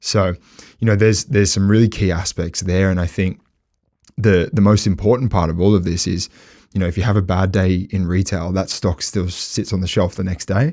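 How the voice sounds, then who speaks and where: A man speaks with a very deep, low pitch and a dark, mellow tone at a fairly quick pace. His intonation stays fairly even on a very clean recording with a silent background. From Australia. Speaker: hospitality tech executive. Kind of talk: podcast interview. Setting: studio. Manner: hesitant, many fillers.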